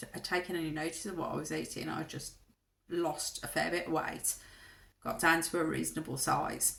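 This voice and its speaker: With a Brummie accent, a woman speaks at a moderate pace in a fairly low pitch. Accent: Birmingham (Brummie). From Birmingham, English Midlands. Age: 50s. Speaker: vlogger. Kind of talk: casual vlog monologue. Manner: hesitant, many ums.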